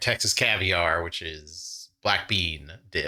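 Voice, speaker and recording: Recorded very cleanly against silence, a man speaks in a bright, sharp tone. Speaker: trivia channel host. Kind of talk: casual play-along commentary. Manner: animated.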